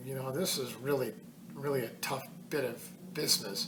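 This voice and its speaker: Noticeable background noise fills the recording. Over it, a man talks at a moderate speed. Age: 70s. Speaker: hiker. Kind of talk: casual talk to camera.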